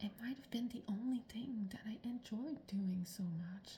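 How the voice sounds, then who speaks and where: This speaker is quiet. The delivery runs fairly slow. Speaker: personal vlogger on eating disorder recovery. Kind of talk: personal video diary monologue. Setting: at home in the morning. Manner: quiet, subdued.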